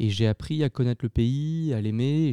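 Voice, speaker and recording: A man talks at a moderate pace, using ordinary pitch variation. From France, Lyon. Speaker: film director and producer. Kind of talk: interview. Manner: halting, many hesitations.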